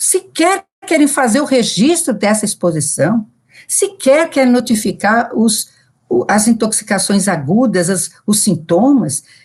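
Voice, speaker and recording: At a fairly slow pace, a woman speaks in a somewhat breathy voice with a fairly high pitch and very wide pitch swings. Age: 70s. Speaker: public health physician. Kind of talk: recorded talk. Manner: halting.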